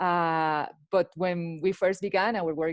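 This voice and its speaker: Against a quiet background, a woman with a Spanish accent speaks at a fairly low pitch with fairly even intonation. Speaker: lawyer at a digital rights organization. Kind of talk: panel discussion. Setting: video call. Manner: halting.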